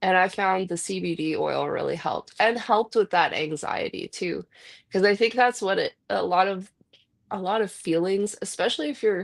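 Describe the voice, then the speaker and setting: A woman with a Canadian accent speaks at a moderate pace, at a medium pitch with ordinary pitch variation and vocal fry. The sound is dry and close with no echo, over a quiet background. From Vancouver, western Canada. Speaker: podcast host. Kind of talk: casual chat. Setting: live stream.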